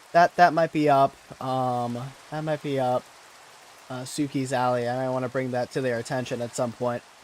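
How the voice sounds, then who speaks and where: Noticeable background noise behind a man's medium-pitched speech, delivered at a moderate pace with fairly even intonation. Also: long, frequent pauses. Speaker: gaming streamer. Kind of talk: casual live-stream commentary. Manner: halting, many fillers.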